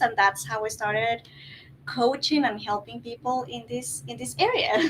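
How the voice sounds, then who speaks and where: A woman speaks with a Guatemalan accent. Her pitch is fairly high. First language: Spanish. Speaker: life coach. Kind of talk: panel discussion. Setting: filmed in wellness center.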